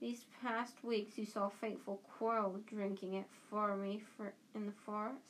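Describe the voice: The speaker reads a text aloud. The delivery is plain.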